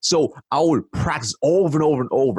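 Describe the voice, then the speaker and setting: A man speaks with vocal fry. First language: not English. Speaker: sales and marketing expert. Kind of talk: interview. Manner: many fillers and restarts; animated.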